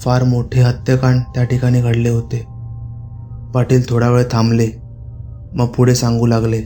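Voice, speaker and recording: A man's medium-pitched, monotone, flat voice over music in the background. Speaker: horror storyteller. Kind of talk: Marathi horror story narration. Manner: narrating in storytelling style.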